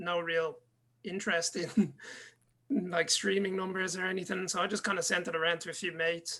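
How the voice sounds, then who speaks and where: A man speaks with an Irish accent and a high pitch. His bright, sharp tone stays monotone and flat at a moderate pace. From Ireland. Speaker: DJ and music producer. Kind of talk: interview.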